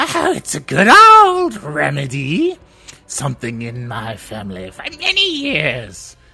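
The delivery is fairly slow and uses a put-on character voice. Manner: unsettling.

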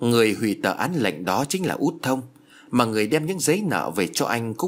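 This is reading aloud in a natural voice, with lively intonation.

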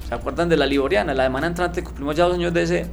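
The voice comes with audible room echo and music in the background. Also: man. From Colombia, Andes (Antioquia). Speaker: conservationist. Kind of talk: radio interview.

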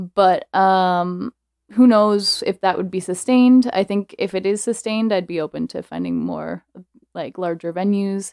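In an unremarkable speaking voice, a woman talks at a fairly slow pace with medium pitch and fairly even intonation. The recording is very clean, with a silent background and a dry, close sound with no echo. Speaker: event organizer. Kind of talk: casual chat.

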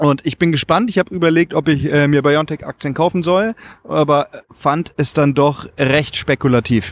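Moderately paced speech from a man, fairly high in pitch, with ordinary pitch variation. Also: dry, close sound with no echo. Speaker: podcast host. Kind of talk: casual chat.

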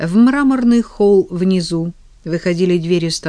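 Text in plain reading aloud

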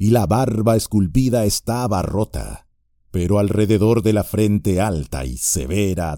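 In a natural voice, the text is read aloud with ordinary pitch variation, and the background stays quiet.

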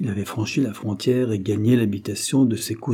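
Natural reading aloud with fairly even intonation.

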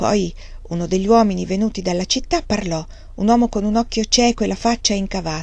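Reading done without strain, the pitch moving an ordinary amount

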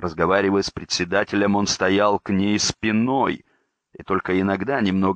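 A natural reading voice is heard. Behind it, the background stays quiet.

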